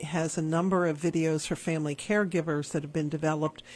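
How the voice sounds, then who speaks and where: This woman has an unremarkable speaking voice, fairly low in pitch. The recording is very clean, with a silent background. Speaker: radio host. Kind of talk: radio interview.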